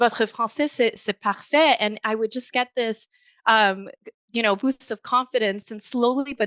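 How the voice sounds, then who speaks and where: Against a quiet background, a woman speaks at a moderate pace in a dry, close sound with no echo. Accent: non-native. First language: not French. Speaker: bilingual professional, panelist. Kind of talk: panel discussion.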